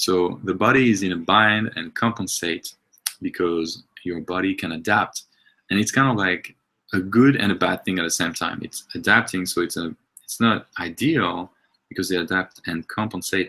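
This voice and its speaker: With a French accent, a man speaks at a moderate pace in a very deep, low pitch and a bright, sharp tone. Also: ordinary pitch variation. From France. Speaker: movement and health coach. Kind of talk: webinar presentation. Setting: online webinar. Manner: halting, many fillers.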